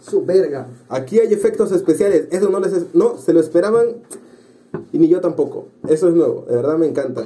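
Speaking with lively intonation at a moderate pace, a man uses a high pitch. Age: 20s. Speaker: podcast host. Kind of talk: casual chat.

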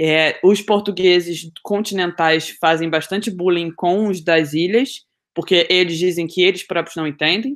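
A plain, everyday voice talks at a fairly slow pace with fairly even intonation and hardly any pauses. The recording is very clean, with a silent background. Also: woman, fairly low pitch for a woman. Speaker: podcast co-host. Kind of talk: casual chat.

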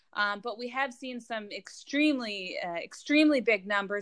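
A woman speaks with a General American accent in a bright, sharp tone. Her pace is fairly slow, and the background is quiet. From US West Coast, Los Angeles. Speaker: advocacy digital campaigner. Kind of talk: podcast interview.

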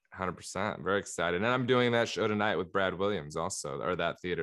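This man has a very deep, low voice. He talks at a very fast pace with lively intonation. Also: hardly any pauses. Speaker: podcast host, comedian. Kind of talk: casual comedy banter. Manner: interrupting, bantering.

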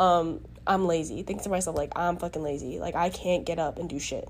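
Ordinary pitch variation in a woman's dark, mellow voice. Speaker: podcast host. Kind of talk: solo podcast monologue on self-reflection. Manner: casual, filler-heavy.

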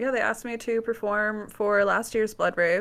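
On a very clean recording with a silent background, a woman with an American accent talks at a medium pitch. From US Midwest, Wisconsin. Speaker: alternative model. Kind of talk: casual chat.

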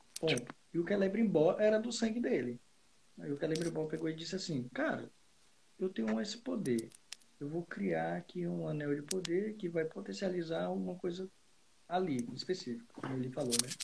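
Pausing long and often, a man speaks at a moderate pace in a fairly high voice that swings very widely in pitch. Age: 20s. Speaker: IT professional, podcast co-host. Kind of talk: casual chat.

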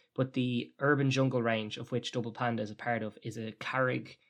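A man with an Irish accent speaks at a medium pitch in a monotone, flat way. The background is quiet. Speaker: podcast co-host. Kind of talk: casual chat.

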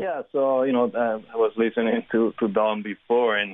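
A man speaks at a moderate pace with a fairly low pitch. He has a normal speaking voice with fairly even intonation. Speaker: car brand executive. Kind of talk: radio interview.

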